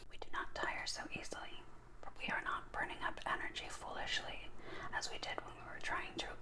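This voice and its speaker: With noticeable noise in the background, a person whispers at a moderate pace. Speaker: recovering alcoholic. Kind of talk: asmr reading. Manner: whispered.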